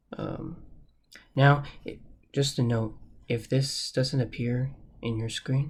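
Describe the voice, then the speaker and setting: Speaking at a very slow pace with long, frequent pauses, a man's somewhat breathy voice holds a fairly even intonation. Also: medium pitch for a man. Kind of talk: software tutorial narration. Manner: hesitant, many filler words.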